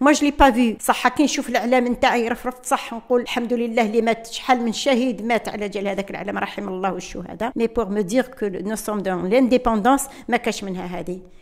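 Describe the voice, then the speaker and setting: Noticeable background noise sits under speech at a moderate pace with hardly any pauses and ordinary pitch variation. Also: woman, fairly high pitch for a woman. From Algeria, Kabylie. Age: 70s. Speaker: independence war witness. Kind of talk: testimony. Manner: code-switching Arabic and French, halting.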